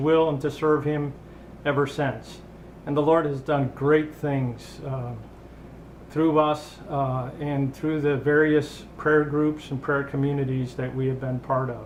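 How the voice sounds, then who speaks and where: A man with an American accent talks at a very slow pace in a fairly high pitch. His intonation is flat and monotone, and the room echo is audible. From US Midwest. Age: 60s. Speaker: retired meteorologist. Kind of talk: personal video message. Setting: home kitchen. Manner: halting.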